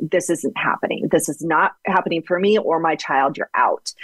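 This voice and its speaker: Recorded dry and close with no echo, a woman with a normal speaking voice talks at a moderate pace and a fairly low pitch. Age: 40s. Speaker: author and ghostwriter. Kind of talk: interview.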